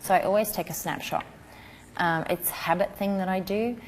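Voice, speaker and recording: Soft-spoken, a woman keeps a fairly even intonation. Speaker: newborn photographer teaching a class. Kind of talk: tutorial.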